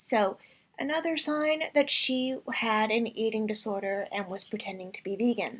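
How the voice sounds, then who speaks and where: Here is a woman with a normal speaking voice, fairly high in pitch. She keeps a moderate pace and ordinary pitch variation. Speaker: vegan reaction commentator. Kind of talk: reaction commentary.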